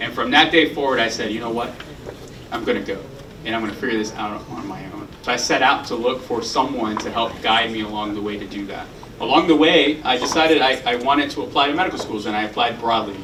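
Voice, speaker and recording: A man at a very fast pace, medium pitch and ordinary pitch variation, with audible room echo and noticeable background noise. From Puerto Rico and mainland US, military family. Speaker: heart surgeon. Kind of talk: interview conversation.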